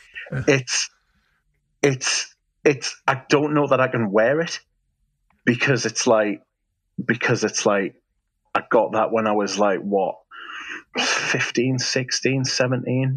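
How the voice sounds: Speaking very slowly, a man leaves long, frequent pauses. His pitch is medium and varies in an ordinary way.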